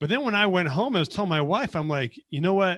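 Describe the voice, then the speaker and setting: Recorded very cleanly with a silent background, a man with an American accent sounds animated, with a bright, sharp tone and lively intonation. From US West, Las Vegas. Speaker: accountant. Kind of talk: podcast interview. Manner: animated storytelling.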